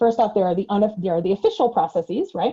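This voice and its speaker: A woman speaks at medium pitch in a dark, mellow tone. Her voice is somewhat breathy. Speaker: trainer. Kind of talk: webinar lecture. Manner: fast.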